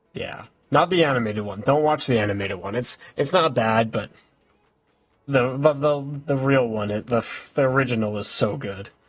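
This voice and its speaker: A somewhat breathy man talks in a medium pitch at a moderate pace, with ordinary pitch variation. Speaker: video game streamer. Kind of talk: casual live stream chat. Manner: halting, stumbling over words; casual, chatty.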